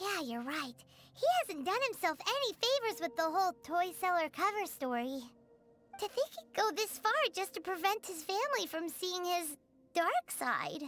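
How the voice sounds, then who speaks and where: In a put-on character voice, the speaker talks at an extremely high pitch with faint music in the background. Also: moderate pace. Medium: video game. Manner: chatty, bright.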